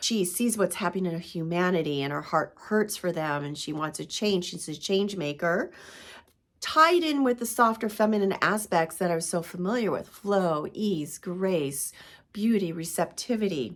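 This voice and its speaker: A normal speaking voice with ordinary pitch variation at a moderate pace, in a very clean recording with a silent background. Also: woman, medium pitch for a woman. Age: 50s. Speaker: spiritual coach, podcaster. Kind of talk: casual talk to camera.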